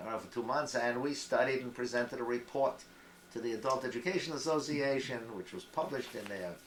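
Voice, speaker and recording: A man at a medium pitch and very fast pace, with ordinary pitch variation and big swings in loudness, amid noticeable background noise and audible room echo. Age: 80s+. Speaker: retired adult educator. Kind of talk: family interview. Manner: halting.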